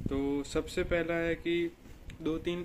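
Monotone, flat male speech over light background noise. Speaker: student vlogger. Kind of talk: casual vlog chat. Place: street. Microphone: phone near.

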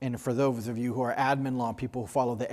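This is a man talking. His intonation stays fairly even. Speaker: panel moderator. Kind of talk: panel introduction remarks. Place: hall. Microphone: lapel.

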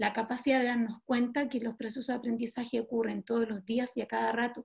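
Against a quiet background, a woman with a high voice speaks at a very fast pace with fairly even intonation. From Chile, Los Andes province; Chile. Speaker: teacher. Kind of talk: video-call workshop discussion. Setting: video call. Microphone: video call.

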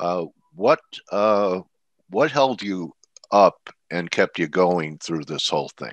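Against a quiet background with a dry sound and no echo, a man with a very deep, low pitch speaks very slowly and with lively intonation, leaving long, frequent pauses. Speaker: webinar host. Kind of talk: market analysis webinar. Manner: casual. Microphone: video call.

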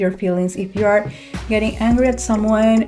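Clear music sits in the background as the speaker goes at a moderate pace with monotone, flat intonation. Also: woman. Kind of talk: casual vlog chat. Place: home room. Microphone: studio mic.

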